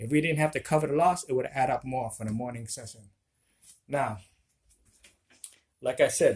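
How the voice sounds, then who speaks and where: A man's fairly high voice moves at a moderate pace with ordinary pitch variation. Long, frequent pauses break up his speech. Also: big swings in loudness. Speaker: craps gambling vlogger. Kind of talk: casual vlog commentary. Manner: loud, raised voice.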